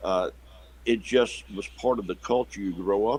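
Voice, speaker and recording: A man speaks in a South Carolina accent at a fairly slow pace. His pitch is fairly low. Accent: Southern US (South Carolina). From US South, South Carolina near Savannah. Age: 60s. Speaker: pastor. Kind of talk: interview conversation. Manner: halting, many repetitions and fillers.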